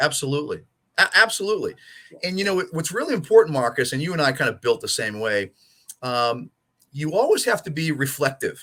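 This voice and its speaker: At a fairly quick pace, a man with an American accent speaks in a bright, sharp tone, with a fairly high pitch and very wide pitch swings. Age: 60s. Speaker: soccer coach and coach educator. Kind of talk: interview conversation.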